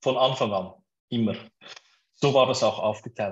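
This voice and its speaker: A man with a Swiss German accent speaks at medium pitch in a somewhat breathy voice. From Switzerland. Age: 30s. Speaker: startup co-founder. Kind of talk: interview.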